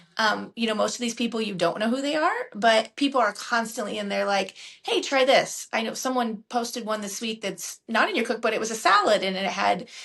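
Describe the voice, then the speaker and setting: A woman talks at a fairly quick pace with hardly any pauses, her fairly high voice showing ordinary pitch variation. Noticeable background noise is present. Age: 40s. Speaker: healthcare professional. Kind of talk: interview answer.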